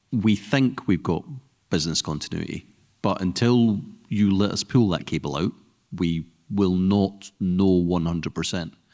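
In a normal speaking voice, a man talks at a fairly low pitch with ordinary pitch variation. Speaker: security consultant. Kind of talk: panel discussion. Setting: stage with audience.

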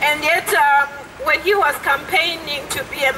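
A woman projects her voice, speaking loudly at a fairly slow pace. Background noise is noticeable. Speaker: asylum seeker activist. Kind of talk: rally speech. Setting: outdoor protest. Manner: earnest, angry, indignant, urgent, fluent with hesitations. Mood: indignant, earnest. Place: street. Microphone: handheld.

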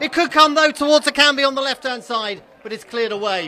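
The voice is raised and projected, moving at a very fast pace. Its tone is animated, with lively intonation. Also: man. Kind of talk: live football commentary. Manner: fast, animated play-by-play delivery, clipped and urgent, rising on chances.

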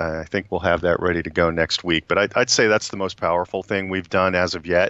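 A man speaks in a very deep, low voice with an American accent and a flat, monotone delivery. The sound is dry with no echo against a quiet background. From US Northeast. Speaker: HR executive; guest. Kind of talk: interview. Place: office. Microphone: video call.

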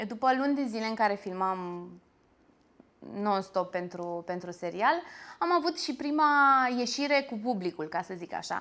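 Very wide pitch swings at a moderate pace, broken by long, frequent pauses. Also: woman. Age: 30s. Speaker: actress and singer; actress. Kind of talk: interview. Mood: lively, animated storytelling. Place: cafe. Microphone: lapel.

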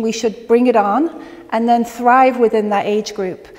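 Over noticeable background noise, the speaker talks at a moderate pace with an American accent. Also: woman. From England. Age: 50s. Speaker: natural health educator. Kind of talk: educational talk to a live audience.

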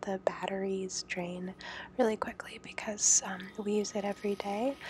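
Against noticeable background noise, a soft-spoken woman talks in a relaxed tone at a medium pitch with monotone, flat intonation. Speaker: home coffee maker showing her routine. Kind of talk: ASMR soft-spoken tutorial. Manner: soft-spoken, relaxed.

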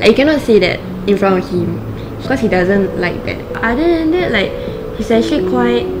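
A woman speaks with music playing in the background. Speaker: interviewee. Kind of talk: interview answer. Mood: relaxed, light. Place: home room. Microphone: lapel.

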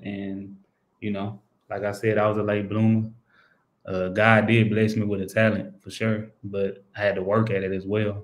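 In an American accent, a man talks at a moderate pace and a fairly low pitch with monotone, flat intonation. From Texas, Houston. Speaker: professional basketball player; guest. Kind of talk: interview. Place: home room. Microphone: video call.

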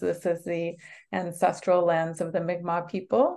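Fairly low in pitch, a woman speaks at a fairly slow pace. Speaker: art professor. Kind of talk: lecture. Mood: warm, happy. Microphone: video call.

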